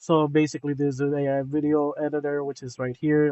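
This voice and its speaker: A man's fairly high pitch stays in a monotone, flat intonation, captured in a dry, close sound with no echo. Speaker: vlogger documenting a programming project. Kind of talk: screen-recorded tutorial walkthrough. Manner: fast; casual, filler-heavy.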